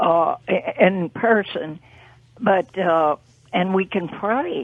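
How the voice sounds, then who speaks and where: In a New Orleans accent, a woman speaks at a very slow pace and a medium pitch. Her intonation stays fairly even. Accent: Southern US, New Orleans. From US South. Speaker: regular radio caller. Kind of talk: phone-in call.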